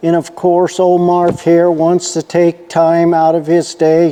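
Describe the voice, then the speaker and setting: Noticeable background noise sits behind this recording. A man with a high pitch speaks at a very slow pace. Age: 70s. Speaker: retired repair shop owner and channel host. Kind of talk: casual monologue to camera. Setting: workshop. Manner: relaxed, conversational.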